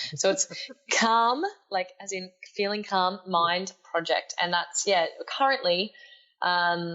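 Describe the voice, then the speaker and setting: In an Australian accent, the speaker goes at a very slow pace with long, frequent pauses and ordinary pitch variation. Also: woman, medium pitch for a woman. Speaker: life coach and speaker. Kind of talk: podcast interview.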